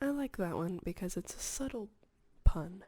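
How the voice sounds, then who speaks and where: The speaker is soft-spoken, with a calm tone and a fairly slow pace. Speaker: ASMR video creator. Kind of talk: ASMR soft spoken talk to camera. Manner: soft-spoken, calm.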